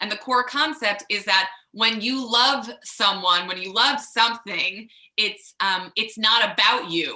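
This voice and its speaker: In a Long Island accent, a woman speaks fairly slowly at a fairly high pitch, her tone bright and sharp. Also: ordinary pitch variation. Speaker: rabbi. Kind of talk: sermon. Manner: halting, many fillers.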